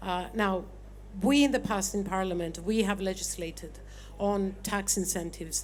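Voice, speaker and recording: Vocal fry runs through this woman's speech. Her pitch sits at a medium level. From Cyprus, Nicosia. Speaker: member of parliament. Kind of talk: panel discussion. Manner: loud.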